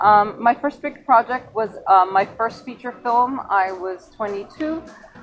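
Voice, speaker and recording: With music playing behind her, a woman speaks at a fairly slow pace with ordinary pitch variation. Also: fairly high pitch for a woman. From Venezuela and Florida, Belgian parents. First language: French. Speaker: film director and producer. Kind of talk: interview.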